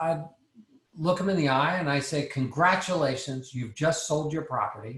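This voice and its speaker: At a fairly high pitch, a man with an ordinary speaking voice talks at a moderate pace with ordinary pitch variation. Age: 60s. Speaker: real estate investor and speaker on master leasing. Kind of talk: presentation to investor group. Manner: conversational, with frequent fillers and repeats.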